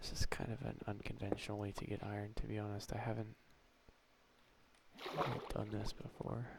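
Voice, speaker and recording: A soft-spoken man at fairly low pitch with monotone, flat intonation, a fairly quick pace and long, frequent pauses, over noticeable background noise. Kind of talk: gameplay commentary, video journal.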